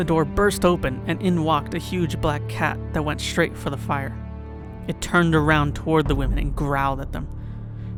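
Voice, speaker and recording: Music plays in the background as the speech moves along at a moderate pace. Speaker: podcast host and storyteller. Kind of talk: folk tale narration.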